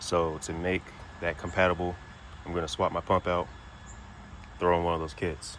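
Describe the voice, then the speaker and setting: A man's very deep, low voice at a moderate pace, with fairly even intonation and long, frequent pauses. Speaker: car builder, home mechanic. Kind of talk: casual walkthrough of a car build. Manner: monotone.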